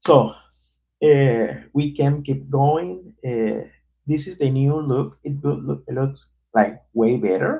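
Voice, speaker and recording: A man with a non-native accent talks at a very slow pace in a dark, mellow, somewhat breathy tone with ordinary pitch variation. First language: not English. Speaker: developer live streamer. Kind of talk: live coding stream. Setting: live stream. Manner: halting.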